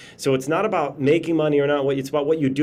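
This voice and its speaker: Noticeable background noise sits under a man speaking very fast with an American accent. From Chicago, US Midwest. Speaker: motivational speaker and trainer. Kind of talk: webinar presentation. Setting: video call outdoors. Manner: animated.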